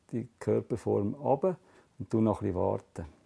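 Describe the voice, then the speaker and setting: Against a quiet background, a man with a Swiss German accent talks at a fairly slow pace, his dark, mellow tone set at a fairly low pitch with ordinary pitch variation. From Switzerland. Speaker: fly tying artist. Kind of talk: hands-on craft demonstration. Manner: casual, explanatory. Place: workshop.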